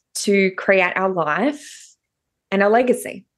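Against a quiet background, a woman with an Australian accent speaks very slowly at a medium pitch with ordinary pitch variation. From Tasmania, Australia. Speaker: personal development coach. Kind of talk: interview.

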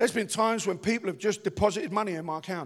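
A man in a strong Cockney accent speaks at a very fast pace with an animated tone. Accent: deep Cockney. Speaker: pastor. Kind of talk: sermon. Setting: church.

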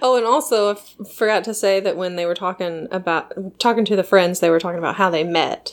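A woman talks at a fairly quick pace with hardly any pauses. She has an unremarkable speaking voice, a medium pitch and ordinary pitch variation. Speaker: podcast co-host. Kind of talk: casual chat.

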